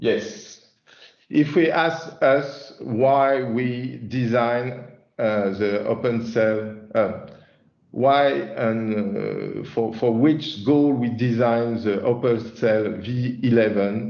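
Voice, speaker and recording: With audible room echo, a man speaks very slowly at medium pitch and ordinary pitch variation. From France. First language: French. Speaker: chief product officer presenting a software release. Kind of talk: webinar presentation. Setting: online webinar. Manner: halting, many fillers and repetitions.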